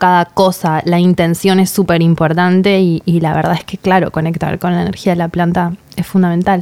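Using a normal speaking voice, the woman stays at a medium pitch and a moderate pace. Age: 30s. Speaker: podcast host and author. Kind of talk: podcast interview and storytelling.

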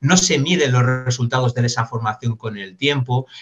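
Fairly even in intonation, a man speaks at a moderate pace in a medium pitch. His voice is somewhat breathy. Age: 40s. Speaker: business consultant and trainer. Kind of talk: interview.

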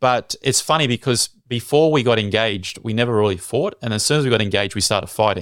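Medium-pitched with ordinary pitch variation, a man with an Australian accent speaks at a very fast pace with hardly any pauses. The recording is very clean, with a silent background. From Australia (Sydney). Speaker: evangelist and radio content manager. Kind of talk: casual interview, personal testimony.

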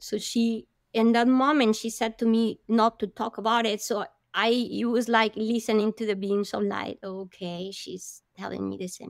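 A woman with a Spanish accent speaks at a moderate pace in a fairly high, flat monotone, her loudness swinging widely, on a very clean recording with a silent background. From Colombia (Bogota). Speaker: marine biologist and oceanographer. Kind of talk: interview testimony.

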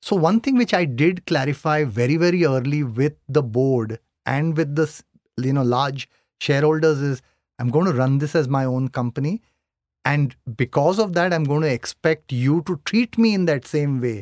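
A man's fairly high pitch with an Indian accent and ordinary pitch variation at a moderate pace, in a dry, close sound with no echo on a very clean recording with a silent background. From Mumbai, India. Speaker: company CEO. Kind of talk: casual interview conversation.

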